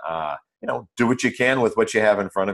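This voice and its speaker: Using a normal speaking voice, a man with an American accent has fairly low pitch and ordinary pitch variation. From small-town US. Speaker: author and Spanish language educator. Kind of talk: interview conversation.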